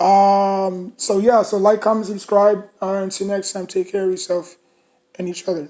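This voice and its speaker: A woman in a New York accent, medium in pitch and dark and mellow in tone, with monotone, flat intonation at a moderate pace. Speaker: sports fan commentator. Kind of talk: casual monologue reaction video. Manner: hesitant, many fillers and restarts.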